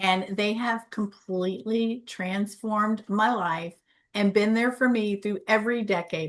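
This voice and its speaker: Speaking at a fairly slow pace, a woman uses a normal speaking voice at a medium pitch. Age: 60s. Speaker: wellness coach. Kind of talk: live-stream panel discussion.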